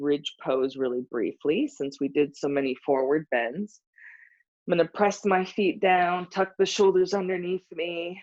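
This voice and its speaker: A woman with a fairly low pitch speaks softly at a fairly slow pace. Her intonation is lively. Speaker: yoga teacher. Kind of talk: guided yoga class instruction. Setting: live stream. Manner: soft-spoken.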